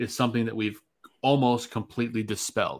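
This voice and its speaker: Medium in pitch and fairly even in intonation, a man talks in a plain, everyday voice. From Chicago. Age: 20s. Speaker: podcast host. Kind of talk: casual chat.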